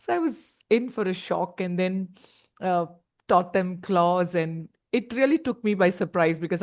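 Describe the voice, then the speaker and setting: A woman speaks at a moderate pace in a fairly low pitch with ordinary pitch variation. It is a plain, everyday voice, set against a quiet background. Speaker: teacher.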